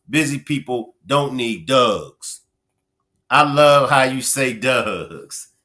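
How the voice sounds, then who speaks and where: Very slow and bright, sharp in tone, a man with a Baltimore accent speaks at a medium pitch with ordinary pitch variation. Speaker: livestream commentator. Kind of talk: live stream chat with viewers. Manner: animated.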